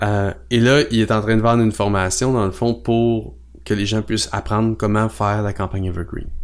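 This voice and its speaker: A man with a Quebec accent speaks at a moderate pace in a fairly low voice with fairly even intonation, on a very clean recording with a silent background. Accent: Québécois French. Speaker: podcast co-host, copywriting strategist. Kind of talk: casual chat.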